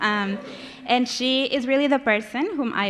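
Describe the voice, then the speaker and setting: With a Spanish accent, a woman speaks with ordinary pitch variation over a quiet background. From Mexico, Monterrey. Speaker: community organizer, panelist. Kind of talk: prepared remarks read aloud. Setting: conference panel with audience. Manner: reading from notes.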